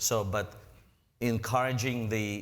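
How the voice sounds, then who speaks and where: A man speaks with a non-native accent at a fairly low pitch. His intonation is monotone and flat, with audible room echo. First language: not English. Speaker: presenter. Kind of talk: lecture; audience Q&A. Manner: halting.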